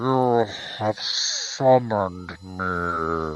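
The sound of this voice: A man puts on a character voice with a very deep, low pitch.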